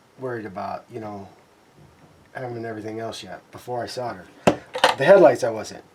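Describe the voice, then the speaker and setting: Noticeable background noise is present. Over it, a man speaks at a medium pitch. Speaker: scale model builder. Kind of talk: tutorial. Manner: halting.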